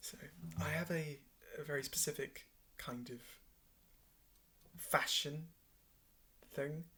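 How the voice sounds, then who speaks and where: A man speaks quietly at a very slow pace, with a fairly high pitch. His intonation is lively and his tone bright and sharp. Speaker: vlogger. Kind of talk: casual monologue. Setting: at home in bedroom at night. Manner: slow-paced.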